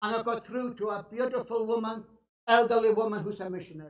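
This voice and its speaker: A man speaks in a Scottish accent. His pitch is extremely high. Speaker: evangelist. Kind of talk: sermon.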